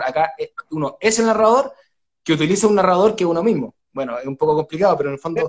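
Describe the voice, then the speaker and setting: A man's high-pitched voice with a Chilean accent and lively intonation. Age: 30s. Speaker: writer and oral storyteller. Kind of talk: live online book launch interview. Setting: at home.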